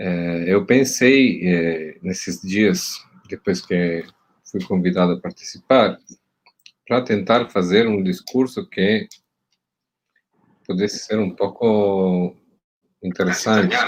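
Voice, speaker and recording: Speaking very slowly, a man uses ordinary pitch variation and leaves long, frequent pauses. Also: fairly low pitch for a man. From Italy. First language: Italian (speaking Portuguese). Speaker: university professor. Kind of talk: panel talk. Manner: halting, many fillers and repeats.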